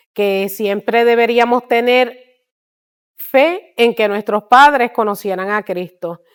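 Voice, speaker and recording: Her pace is very slow and her intonation fairly even. The woman's pitch is fairly high. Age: 60s. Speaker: missionary. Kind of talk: testimony.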